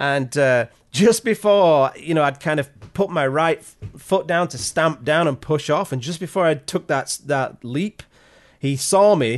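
A man with an English accent talks at a fairly high pitch and fairly slow pace, with ordinary pitch variation. His loudness swings widely against a quiet background. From Yorkshire, England. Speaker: landscape photographer and YouTuber. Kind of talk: casual interview chat. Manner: halting, many repetitions.

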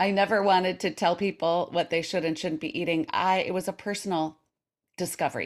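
A woman's medium-pitched, normal speaking voice at a fairly quick pace with ordinary pitch variation, in a very clean recording with a silent background. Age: 60s. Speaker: intermittent fasting coach and author. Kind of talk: casual interview chat.

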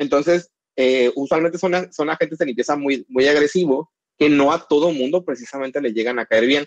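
Fairly quick and fairly high-pitched, a man with an unremarkable speaking voice talks with ordinary pitch variation in a dry, close sound with no echo. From Mexico, northern border (Mexicali, Baja California). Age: 30s. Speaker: chemical engineer and cosmetic formulator. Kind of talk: casual interview.

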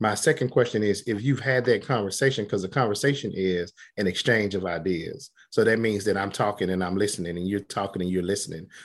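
Talking very fast against a quiet background, a man with an American accent has a fairly low pitch. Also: ordinary pitch variation. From Southeast Texas / Southwest Louisiana. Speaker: radiology application specialist and professional society leader. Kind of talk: interview.

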